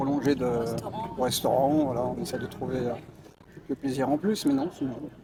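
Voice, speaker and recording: Over noticeable background noise, a man talks with fairly even intonation and long, frequent pauses. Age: 60s. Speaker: street interview passer-by. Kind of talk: street interview.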